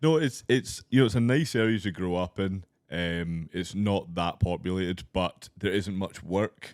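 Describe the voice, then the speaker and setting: Over a silent background in a very clean recording, a man speaks with a Scottish accent in a very deep, low pitch. He keeps a moderate pace with hardly any pauses and ordinary pitch variation. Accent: posh-sounding non-Glaswegian Scottish. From Scottish Highlands, near Inverness. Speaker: stand-up comedian. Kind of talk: casual chat. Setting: studio.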